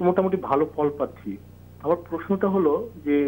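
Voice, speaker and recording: Ordinary pitch variation runs through a normal speaking voice. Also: man. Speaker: TV phone-in caller. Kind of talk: viewer question.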